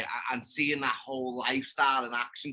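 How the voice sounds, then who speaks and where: In a Liverpool accent, a man talks at medium pitch with a bright, sharp tone. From England, Liverpool. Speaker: podcast guest, hunter. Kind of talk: casual chat.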